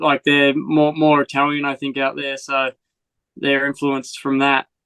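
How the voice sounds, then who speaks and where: A man speaks at a moderate pace with an American accent. His pitch sits fairly high. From Australia, rural northern Victoria. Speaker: motocross rider. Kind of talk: casual chat. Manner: animated.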